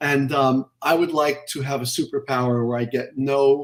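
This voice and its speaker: A man with an American accent has an ordinary speaking voice at medium pitch. He talks at a fairly slow pace with fairly even intonation. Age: 60s. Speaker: anatomy educator. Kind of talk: casual interview.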